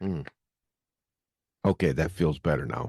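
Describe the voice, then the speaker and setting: Against a quiet background with a dry, close sound and no echo, a man speaks at a fairly slow pace with a very deep, low pitch, ordinary pitch variation and vocal fry. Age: 60s. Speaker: podcast host. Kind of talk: casual storytelling. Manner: conversational with filler words.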